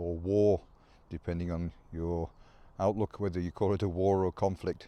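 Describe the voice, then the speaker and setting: A man speaks at a moderate pace with a dark, mellow tone. The sound is dry and close with no echo, over a quiet background. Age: 60s. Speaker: former Royal Marine commando. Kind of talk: casual talk to camera.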